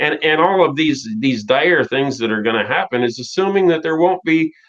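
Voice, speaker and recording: Over noticeable background noise, a man with a fairly high pitch talks with ordinary pitch variation. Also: moderate pace. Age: 60s. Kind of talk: casual chat.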